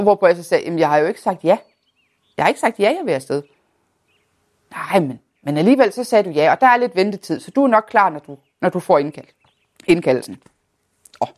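In a dry, close recording with no echo, a woman of medium pitch speaks with very wide pitch swings, big swings in loudness, and long, frequent pauses. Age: 30s. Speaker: person living with multiple sclerosis. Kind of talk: personal testimony.

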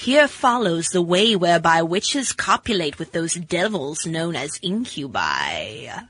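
This is a put-on character voice with middle pitch. It moves at a moderate pace with hardly any pauses. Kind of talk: Halloween spooky voice. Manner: creepy.

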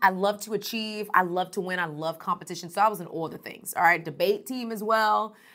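With an energetic, animated tone, a woman speaks brightly and sharply at a medium pitch and a fairly quick pace, with ordinary pitch variation, on a very clean recording with a silent background. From Texas, Houston. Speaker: motivational speaker, nonprofit founder. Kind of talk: conference talk. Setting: recorded event session.

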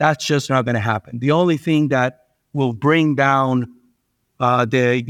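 Someone with a Spanish accent speaks at a moderate pace with ordinary pitch variation, the sound dry and close with no echo over a quiet background. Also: man. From Venezuela. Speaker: investment manager. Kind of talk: interview.

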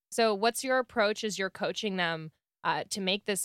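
The recording is very clean, with a silent background. A woman uses an ordinary speaking voice with ordinary pitch variation. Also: dry, close sound with no echo. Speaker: podcast co-host. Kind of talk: casual chat.

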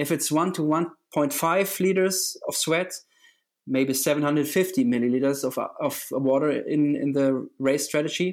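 On a very clean recording with a silent background, a man with a German accent speaks at a very slow pace and very even loudness. His pitch is fairly high, with ordinary variation. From Germany. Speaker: triathlon coach. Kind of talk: interview. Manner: halting.

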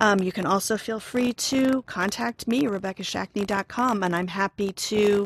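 A woman with an American accent uses an ordinary speaking voice at a medium pitch and moderate pace, with a dry, close sound and no echo. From Oklahoma. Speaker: psychotherapist. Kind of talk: interview.

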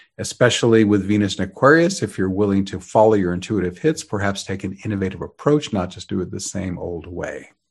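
A man with a normal speaking voice talks at a fairly quick pace with hardly any pauses, at a fairly low pitch with ordinary pitch variation. His loudness swings widely over a quiet background. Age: 60s. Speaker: astrologer podcast host. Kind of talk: scripted forecast narration.

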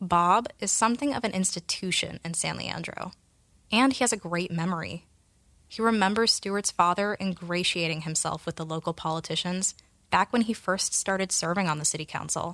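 At a moderate pace, a woman talks in a plain, everyday voice with a medium pitch and ordinary pitch variation. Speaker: podcast narrator and researcher. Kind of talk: scripted narration.

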